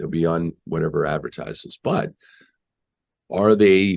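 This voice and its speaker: A man with an American accent speaks at a fairly low pitch and a moderate pace. The sound is dry and close with no echo, over a quiet background. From Boston area, Massachusetts. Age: 60s. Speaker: marketer and audio producer. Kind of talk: interview conversation.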